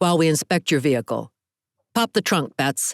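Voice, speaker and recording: Using a put-on character voice, a man talks at a fairly high pitch on a very clean recording with a silent background. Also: moderate pace. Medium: read story. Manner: cool, clipped.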